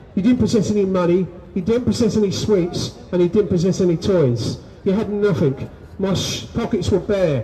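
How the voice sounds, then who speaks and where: The speaker's pitch varies in an ordinary way, with noticeable background noise behind the voice. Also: man. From London. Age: 60s. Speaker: abuse survivor speaking at a rally. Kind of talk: testimony.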